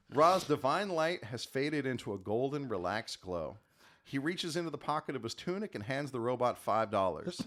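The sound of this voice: The reading voice sounds unforced. Its pitch rises and falls in a lively way.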